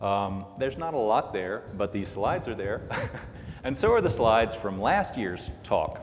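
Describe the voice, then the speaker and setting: A man talks at a middling speed while faint noise hums behind him. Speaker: conference presenter. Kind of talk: lecture. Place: hall.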